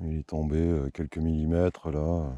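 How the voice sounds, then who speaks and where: In a dark, mellow tone, the voice moves very slowly in a flat monotone, with a dry, close sound and no echo. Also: man. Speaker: beekeeper. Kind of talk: casual vlog narration.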